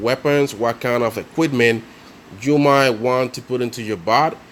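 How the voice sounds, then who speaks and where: The speaker is a man with a non-native accent. His pitch is medium. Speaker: mobile game tutorial creator. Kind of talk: casual game tutorial voice-over. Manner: hesitant, many fillers.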